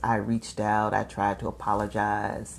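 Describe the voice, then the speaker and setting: A woman's very deep, low voice, tinged with vocal fry, proceeds at a fairly slow pace. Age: 60s. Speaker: life coach hosting a live show. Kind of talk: live video talk to an audience. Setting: live stream. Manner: conversational.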